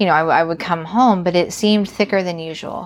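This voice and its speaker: A woman's normal speaking voice with an American accent, medium in pitch, fairly even in intonation, at a moderate pace. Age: 40s. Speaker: podcast guest, host's wife. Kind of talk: casual interview, recounting a story.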